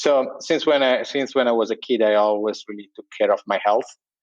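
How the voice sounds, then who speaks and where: With an Italian accent, a man speaks in fairly even intonation. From Italy. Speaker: entrepreneur, sleep company co-founder. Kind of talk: casual interview. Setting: remote internet call. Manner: hesitant, many fillers.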